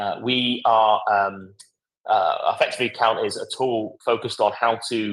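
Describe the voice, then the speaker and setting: The pace is moderate. A man talks in a British accent. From UK. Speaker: software product demonstrator. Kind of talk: live product demo webinar. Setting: live online event. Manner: halting, many fillers.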